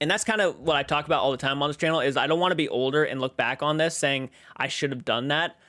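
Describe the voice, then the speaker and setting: Speaking at a very fast pace, a man uses a fairly high pitch and an animated tone. His pitch varies an ordinary amount. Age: 20s. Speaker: horror YouTuber and livestreamer. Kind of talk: casual livestream chat, reading and answering viewer comments. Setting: live stream.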